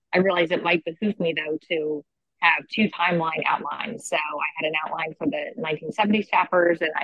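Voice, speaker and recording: Using an unremarkable speaking voice, a woman with an American accent speaks at a moderate pace and fairly low pitch with fairly even intonation. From Philadelphia. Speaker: author. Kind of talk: interview.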